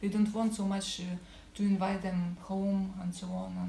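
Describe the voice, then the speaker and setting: Medium-pitched woman's voice, monotone and flat, at a moderate pace, with noticeable background noise and audible room echo. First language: not English. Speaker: cafe owner. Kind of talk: interview. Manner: halting.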